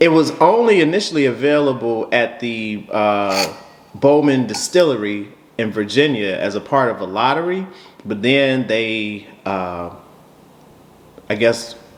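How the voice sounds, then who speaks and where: In a room with audible echo, a man speaks at a fairly slow pace with a medium pitch and lively intonation. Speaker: bourbon reviewer. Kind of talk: casual chat. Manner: halting.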